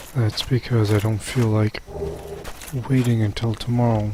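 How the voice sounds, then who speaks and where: A man speaks quietly at a fairly slow pace, his pitch fairly low and his intonation flat and monotone. Noticeable background noise runs behind him. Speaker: gaming video creator. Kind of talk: let's play commentary. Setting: home recording late at night. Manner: quiet, subdued because of late hour.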